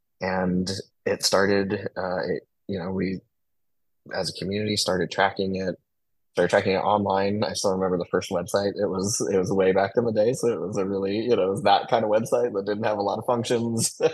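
A normal speaking voice with an American accent moves at a fairly quick pace with fairly even intonation over a quiet background. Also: man, fairly low pitch for a man. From Mesa, Arizona. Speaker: transgender advocate. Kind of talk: interview.

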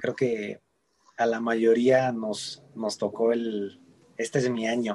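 Here a man speaks at a very slow pace. His intonation is monotone and flat. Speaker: ballet dancer. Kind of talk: interview. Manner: halting, frequent repetitions.

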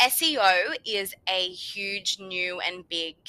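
A woman with an Australian accent speaks at medium pitch in a bright, sharp tone. The sound is dry and close, with no echo. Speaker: podcast host. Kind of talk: solo podcast tutorial. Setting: home bedroom recording. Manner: casual chatty.

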